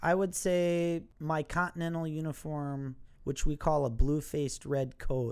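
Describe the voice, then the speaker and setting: A man with a Wisconsin accent speaks at a fairly slow pace in a fairly high pitch, with fairly even intonation, on a very clean recording with a silent background. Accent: Wisconsin Midwestern American. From Milwaukee, Wisconsin. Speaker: factory worker and historical reenactor. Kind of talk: casual interview chat.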